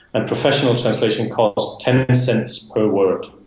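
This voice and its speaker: Someone with a Danish accent speaks at a fairly slow pace. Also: man. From Denmark. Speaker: software developer and business owner. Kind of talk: interview.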